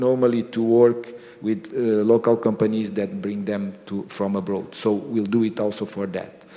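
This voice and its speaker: Over noticeable background noise, a man with a Portuguese accent talks at a fairly slow pace and medium pitch. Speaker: energy company executive. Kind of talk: speech. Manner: halting.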